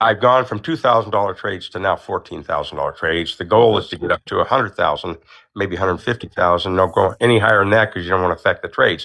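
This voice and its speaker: A man with a fairly low pitch, talking at a very fast pace with hardly any pauses. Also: ordinary pitch variation. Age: 70s. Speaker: caller, amateur stock trader. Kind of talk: casual chat. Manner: halting.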